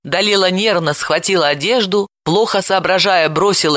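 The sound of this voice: The speaker uses an unforced reading voice with ordinary pitch variation against a quiet background.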